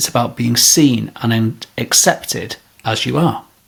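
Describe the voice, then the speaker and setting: This man talks with a Manchester accent and ordinary pitch variation. His voice is somewhat breathy. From northern England, Greater Manchester. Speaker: podcast host, leadership coach. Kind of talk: podcast monologue.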